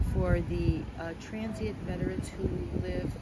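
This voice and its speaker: Heard over loud background noise, a woman's voice has a dry sound with no echo. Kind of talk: interview answer. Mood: warm, heartfelt. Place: street. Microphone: phone near.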